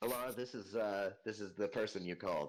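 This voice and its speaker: A man performs a booming, put-on character voice. It sits fairly low in pitch and moves at a fairly quick pace. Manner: loud.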